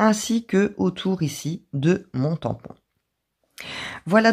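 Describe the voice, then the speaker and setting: A woman talks at a very slow pace in a medium pitch, with vocal fry and very wide pitch swings. The recording is very clean with a silent background. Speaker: craft youtuber. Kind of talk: tutorial.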